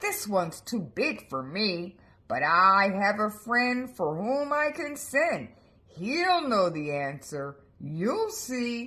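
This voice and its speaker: A female-sounding, put-on character voice speaks at a very slow pace. Its medium pitch makes very wide swings. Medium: read story. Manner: polite, coaxing.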